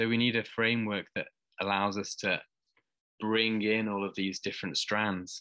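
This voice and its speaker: A man talks at a moderate pace in a fairly low, monotone voice with flat intonation. The tone is bright and sharp, the sound dry with no echo, and the background quiet. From Wales. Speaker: anthropology lecturer. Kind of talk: casual chat. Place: home room. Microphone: webcam.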